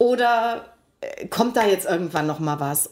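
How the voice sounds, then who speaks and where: A woman speaks at a fairly quick pace and fairly high pitch with a plain, everyday voice. Her intonation is lively. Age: 50s. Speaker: podcast co-host. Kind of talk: casual chat.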